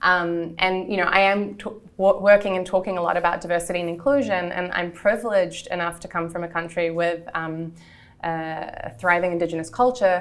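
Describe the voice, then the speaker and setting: Someone with a New Zealand accent speaks at a fairly quick pace. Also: woman, fairly low pitch for a woman, ordinary pitch variation. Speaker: entrepreneur. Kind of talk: interview.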